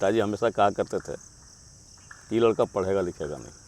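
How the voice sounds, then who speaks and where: A man's voice is heard with a dry, close sound and no echo. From Jharkhand, India. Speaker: amateur musician, flute player. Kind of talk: interview answer.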